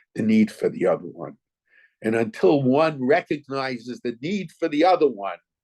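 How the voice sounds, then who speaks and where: In an American accent, a man speaks at a moderate pace in a medium pitch with vocal fry and very wide pitch swings. The sound is dry and close with no echo, over a quiet background. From US, New York. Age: 70s. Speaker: rabbi. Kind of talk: Torah lecture. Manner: halting, with repeated words.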